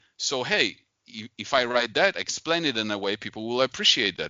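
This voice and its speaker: A man speaks with a Polish accent at medium pitch. His pitch swings are very wide. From Poland. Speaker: investor and author. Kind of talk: interview.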